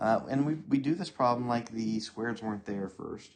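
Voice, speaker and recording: Here is a man with an unremarkable speaking voice at a medium pitch. His delivery moves at a moderate pace with ordinary pitch variation. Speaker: math teacher. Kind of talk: tutorial.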